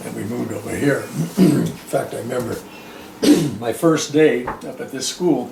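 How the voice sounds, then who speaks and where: A man with an American accent speaks at a moderate pace, his loudness swinging widely. He leaves long, frequent pauses over noticeable background noise. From Lockwood, California. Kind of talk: oral history interview answer. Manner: casual, anecdotal.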